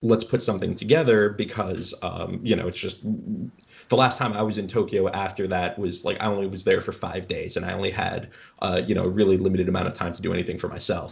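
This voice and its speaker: Very fast speech comes from a man with a fairly low, somewhat breathy voice. His pitch variation is ordinary. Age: 20s. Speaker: streetwear company cofounder. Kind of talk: casual chat.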